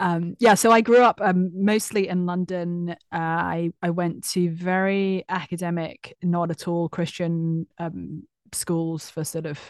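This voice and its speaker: A woman with a British accent speaks in a fairly low, flat monotone, the sound dry and close with no echo against a quiet background. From UK. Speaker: author. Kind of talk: casual interview.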